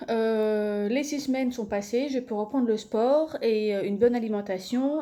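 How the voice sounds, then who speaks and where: High pitch from a woman with a dark, mellow tone, ordinary pitch variation and a fairly slow pace. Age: 30s. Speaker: vlogger promoting supplements. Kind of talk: casual video presentation. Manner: hesitant, many filler words.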